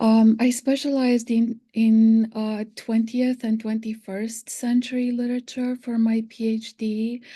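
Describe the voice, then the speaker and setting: A woman with a non-native accent, fairly high pitch, a dark, mellow tone and monotone, flat intonation, at a fairly slow pace with hardly any pauses, against a quiet background. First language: not English. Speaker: English literature professor. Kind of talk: panel discussion. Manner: halting, many fillers.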